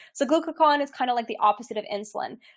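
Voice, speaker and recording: Her pitch moves in a normal, ordinary way as the woman speaks. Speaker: health coach and registered nurse. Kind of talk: webinar lecture. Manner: fast.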